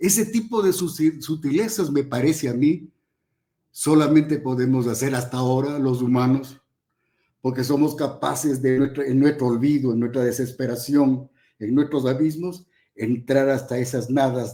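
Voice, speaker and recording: Speaking at a moderate pace, a man with a fairly high pitch uses ordinary pitch variation and a dark, mellow tone. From Ecuador, Ambato. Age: 70s. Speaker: professor. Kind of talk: panel talk.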